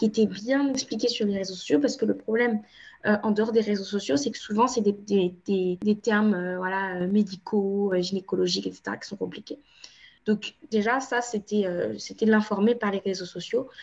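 This woman speaks at a moderate pace with a medium pitch and a somewhat breathy quality. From France, Cape Verdean family. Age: 20s. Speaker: endometriosis patient advocate. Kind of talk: interview testimony.

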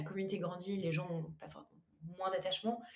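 In audible room echo, a woman speaks at a fairly quick pace. Her pitch is medium. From western France, Anjou. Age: 20s. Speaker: entrepreneur. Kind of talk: casual chat.

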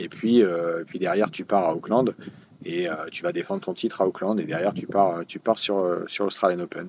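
A man with a very deep, low voice speaks at a moderate pace, showing ordinary pitch variation and big swings in loudness. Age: 50s. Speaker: tennis tournament director. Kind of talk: interview. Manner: halting, with frequent repetitions and fillers.

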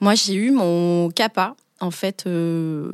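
On a very clean recording with a silent background and a dry, close sound with no echo, a woman speaks at a fairly low pitch with ordinary pitch variation. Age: 30s. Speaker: business lawyer. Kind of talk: interview. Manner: hesitant, many fillers.

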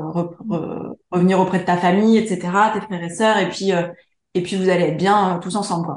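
A woman's medium-pitched voice holds a monotone, flat intonation at a moderate pace. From France, Charente. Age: 30s. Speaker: interior decorator and entrepreneur. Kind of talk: interview. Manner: hesitant, many fillers.

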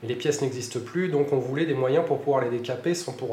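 Amid audible room echo and noticeable background noise, a man speaks with ordinary pitch variation. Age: 40s. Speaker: entrepreneur. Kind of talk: interview. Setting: studio. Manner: halting, with repeated words.

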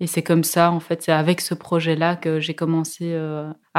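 Moderately paced, a woman speaks at a fairly low pitch with monotone, flat intonation. The recording is very clean against a silent background. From Germany (Soest), then southern Belgium (Ardennes) from 13. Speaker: film director. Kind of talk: interview. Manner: hesitant, many fillers.

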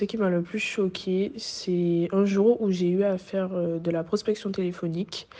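A woman with a Guadeloupean accent speaks in a fairly low voice with a dark, mellow tone. Her intonation is monotone and flat, and her pace is fairly slow. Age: 20s. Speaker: student. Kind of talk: testimony.

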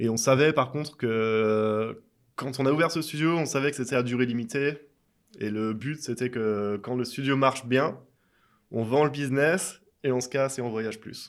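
A man speaks at a moderate pace and medium pitch, with ordinary pitch variation and a plain, everyday voice. The recording is very clean, with a silent background. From France. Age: 30s. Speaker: tattoo artist. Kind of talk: casual interview. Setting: tattoo shop.

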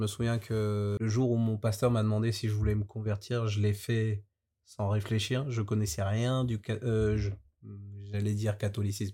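Very clean recording with a silent background of a man in a dark, mellow tone, monotone, flat intonation, very even loudness and a moderate pace. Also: fairly low pitch for a man. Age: 20s. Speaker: banker. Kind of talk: testimony.

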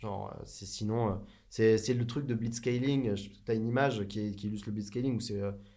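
Audible room echo around a man's dark, mellow voice, medium in pitch with ordinary pitch variation, at a fairly quick pace. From southern France. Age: 30s. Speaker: tech entrepreneur. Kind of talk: casual interview.

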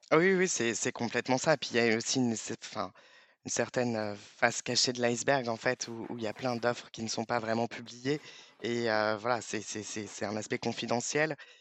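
A man with a medium-pitched voice talks at moderate speed, his pitch varying in an ordinary way. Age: 30s. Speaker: payroll manager. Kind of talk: interview. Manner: halting.

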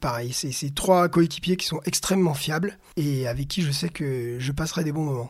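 This man's voice is fairly high in pitch. He talks at a moderate pace. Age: 40s. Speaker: PE teacher and adventure racer. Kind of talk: personal race narrative. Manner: animated.

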